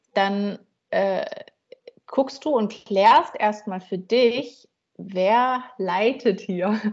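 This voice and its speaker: Very slow and broken by long, frequent pauses, a woman's speech carries ordinary pitch variation. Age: 40s. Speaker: coach and counselor. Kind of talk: casual interview.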